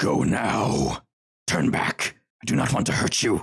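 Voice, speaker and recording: A man puts on a character voice that is raspy, gravelly and guttural. He speaks at a fairly slow pace. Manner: warning, menacing.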